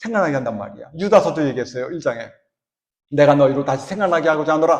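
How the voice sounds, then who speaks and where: With audible room echo around him, a man speaks with very wide pitch swings. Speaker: church elder preaching. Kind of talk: sermon.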